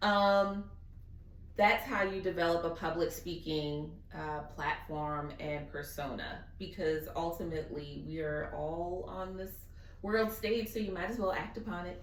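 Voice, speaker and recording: Through noticeable background noise and audible room echo, a woman speaks at a fairly slow pace in a fairly low pitch with ordinary pitch variation. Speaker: guest speaker. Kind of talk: Q&A session. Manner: animated.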